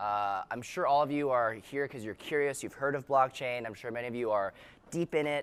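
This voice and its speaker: On a very clean recording with a silent background, a man of medium pitch talks at a fairly quick pace with an energetic tone and ordinary pitch variation. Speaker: startup founder and conference speaker. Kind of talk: conference keynote talk. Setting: stage with audience. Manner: loud.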